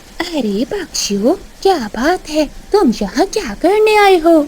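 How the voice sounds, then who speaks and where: In a cartoonish character voice, a woman speaks fairly slowly at an extremely high pitch with very wide pitch swings, over clear background noise. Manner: sly.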